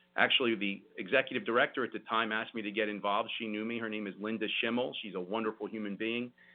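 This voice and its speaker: This man talks at a very fast pace with hardly any pauses. His fairly low voice stays monotone and flat. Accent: New Jersey. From South Jersey, Vineland, New Jersey. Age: 40s. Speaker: lawyer and state senate candidate. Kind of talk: radio interview.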